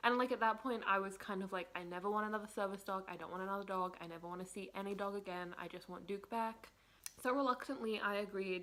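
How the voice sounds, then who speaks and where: A woman talks at a very fast pace and a medium pitch. Her intonation is fairly even. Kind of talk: casual talk to camera. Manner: emotional, tearful in places.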